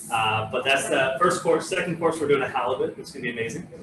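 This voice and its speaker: A man speaks with lively intonation and a fairly high pitch, over noticeable background noise. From France, Normandy (moved to California at ten). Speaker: winery host, former chef. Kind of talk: casual live cooking show chat. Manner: hesitant, many fillers.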